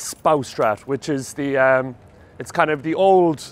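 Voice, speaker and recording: With an Irish accent, a man talks at a moderate pace in a fairly high pitch with ordinary pitch variation. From Ireland, Cork City. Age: 30s. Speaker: stand-up comedian. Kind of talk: casual documentary talk.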